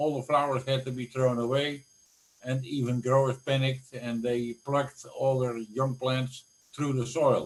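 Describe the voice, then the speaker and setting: A somewhat breathy male voice at a moderate pace. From Netherlands. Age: 70s. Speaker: flower industry executive. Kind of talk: interview. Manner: animated.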